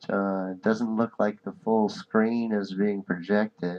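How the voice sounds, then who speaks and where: Soft-spoken and fairly low-pitched, a man talks at a fairly slow pace in a monotone, flat intonation. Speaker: podcast host. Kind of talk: casual chat. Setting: live stream.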